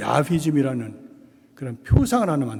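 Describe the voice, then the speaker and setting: Here a man is speaking. His pace is moderate. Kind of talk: lecture. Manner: casual, conversational.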